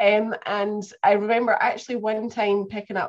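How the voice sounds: This woman speaks in a Scottish accent.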